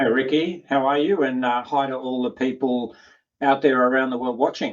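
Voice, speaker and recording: A man's medium-pitched voice with an Australian accent, at a moderate pace and with fairly even intonation. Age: 50s. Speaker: health and performance coach. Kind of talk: interview. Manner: casual, frank.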